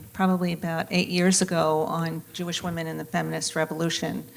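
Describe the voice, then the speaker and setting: A woman at a fairly quick pace. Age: 60s. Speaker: panel moderator. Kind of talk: moderated panel discussion.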